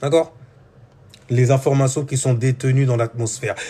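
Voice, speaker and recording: With an ordinary speaking voice, a man talks at a moderate pace and a medium pitch. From France, Seine-Saint-Denis (Paris suburbs). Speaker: spiritual teacher. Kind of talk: spiritual talk. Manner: casual.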